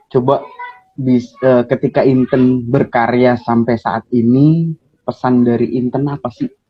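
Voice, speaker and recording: A man's medium-pitched voice, monotone and flat, at a fairly slow pace over background music. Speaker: live-stream host. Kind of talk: casual live-stream interview. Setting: Instagram live video call.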